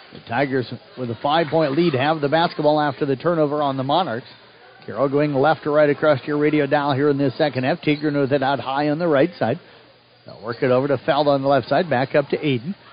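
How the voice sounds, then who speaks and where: Noticeable background noise surrounds a man talking very fast. His fairly high voice has an energetic tone. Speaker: radio sports play-by-play announcer. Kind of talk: live play-by-play sports commentary on a high school basketball game. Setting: broadcasting live from the gym. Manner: quick, fluent and energetic, calling each shot and foul as it happens.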